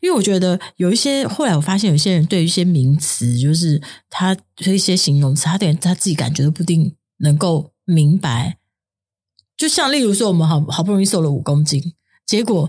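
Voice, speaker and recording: At a fairly quick pace, a woman with a fairly low pitch and somewhat breathy delivery uses lively intonation while keeping her loudness very even. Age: 50s. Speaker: podcast co-host. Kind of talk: casual chat.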